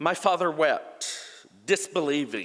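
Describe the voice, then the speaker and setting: This man has a fairly high voice with vocal fry. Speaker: church member. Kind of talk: reading aloud. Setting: church. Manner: passionate.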